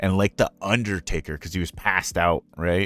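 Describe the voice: On a very clean recording with a silent background, a man speaks at a low pitch with a fairly bright tone and fairly even intonation. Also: moderate pace.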